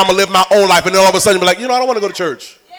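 A man speaks in a raised, projected voice with a playful, animated tone. Crowd noise carries in the background. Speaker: preacher. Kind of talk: sermon. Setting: church with congregation. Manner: animated, rousing call-and-response, urging the congregation to shout back; conversational and playful, with repeated phrases and crowd-teasing asides.

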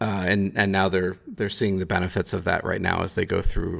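Heard on a very clean recording with a silent background, a man with an American accent and a fairly low pitch speaks at a moderate pace. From US Midwest, Chicago. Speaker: cooperative founder. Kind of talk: interview.

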